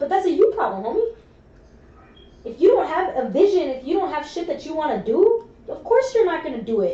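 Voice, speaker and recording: The tone is animated, with very wide pitch swings and big swings in loudness. Noticeable background noise runs underneath. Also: woman, extremely high pitch for a woman, fairly quick pace. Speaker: friend in casual conversation. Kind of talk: casual chat. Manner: loud, elevated voice.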